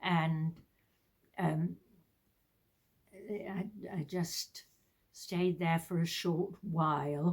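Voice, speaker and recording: A woman's fairly low, somewhat breathy voice with monotone, flat intonation. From southern England (Hertfordshire). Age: 80s+. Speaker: retired teacher. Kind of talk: casual chat. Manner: halting.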